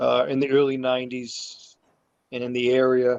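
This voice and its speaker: The voice belongs to a man. The sound is dry and close, with no echo at all. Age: 60s. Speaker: martial arts instructor. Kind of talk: casual chat. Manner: halting.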